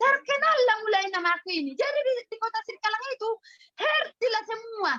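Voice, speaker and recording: In a raised, projected voice, a woman speaks at a very fast pace with a bright, sharp, animated tone and lively intonation, in a dry, close sound with no echo. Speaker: health product seller. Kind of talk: sales training talk.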